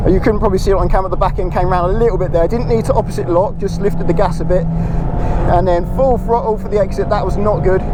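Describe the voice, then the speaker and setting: A man talks at a very fast pace with hardly any pauses, with audible room echo and noticeable background noise. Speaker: amateur track day driver and video maker. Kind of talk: live driving commentary. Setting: in a car on a race circuit. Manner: loud, shouting; animated, excited exclamations.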